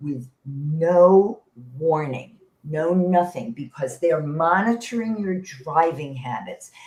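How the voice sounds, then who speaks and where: Somewhat breathy and fairly low-pitched, a woman speaks at a very slow pace with lively intonation. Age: 70s. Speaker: senior tech teacher. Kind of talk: interview answer.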